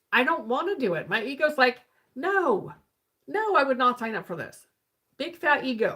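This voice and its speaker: A woman with an animated tone at a moderate pace. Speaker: spiritual healing coach. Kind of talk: live stream talk. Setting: live stream. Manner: halting, self-correcting; casual, animated.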